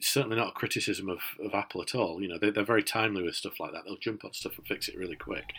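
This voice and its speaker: A man with a Yorkshire accent talks at a very fast pace, his loudness swinging a lot. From Yorkshire, northern England. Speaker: tech podcast co-host. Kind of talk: casual chat. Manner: hesitant, many fillers.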